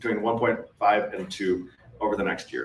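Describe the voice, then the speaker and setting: Noticeable background noise behind a man speaking with ordinary pitch movement. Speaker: MSP business owner presenting at a conference. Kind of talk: conference presentation. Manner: fast.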